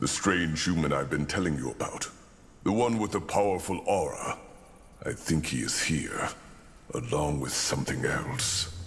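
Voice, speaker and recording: A man does a put-on character voice with a very deep, low pitch. Clear background noise is present. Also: moderate pace. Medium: video game. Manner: direct, commanding.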